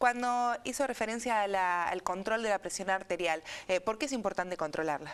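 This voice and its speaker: At a fairly quick pace, an ordinary speaking voice shows ordinary pitch variation over a quiet background. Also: woman, medium pitch for a woman. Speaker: radio and TV host, speech therapist. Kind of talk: interview questions.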